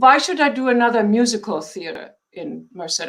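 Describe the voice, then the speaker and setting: A fairly high-pitched woman with a German accent at a moderate pace. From Germany. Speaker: theater founder and artistic director. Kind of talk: interview.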